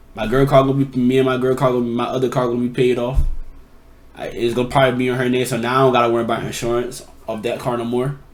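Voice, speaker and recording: The words come out very fast from this man. You can clearly hear the room echo around them. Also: medium pitch for a man. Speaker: YouTube reactor. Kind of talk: casual commentary. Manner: animated.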